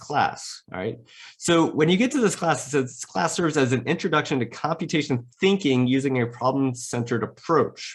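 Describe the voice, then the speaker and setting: A man talks at a fairly quick pace with a fairly high pitch. His voice is somewhat breathy and his intonation is lively. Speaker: career coach presenter. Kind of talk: webinar presentation. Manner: fast.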